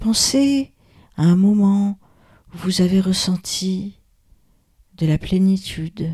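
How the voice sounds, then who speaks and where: A woman's somewhat breathy voice at a medium pitch, dark and mellow in tone, gentle and soothing, with ordinary pitch variation, very even loudness, a very slow pace and long, frequent pauses. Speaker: yoga nidra guide. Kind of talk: guided meditation. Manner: slow, soothing, calm, with long pauses; soft, gentle, hushed.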